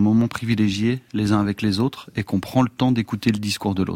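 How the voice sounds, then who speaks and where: A man's fairly low voice comes through with a dry, close sound and no echo. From northern France, Amiens. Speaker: musician and producer. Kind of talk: casual chat. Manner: halting.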